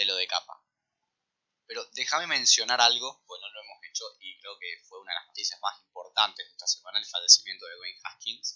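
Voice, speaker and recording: A man with a Rioplatense accent, at a fairly quick pace. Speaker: sports podcast co-host. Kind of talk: casual chat.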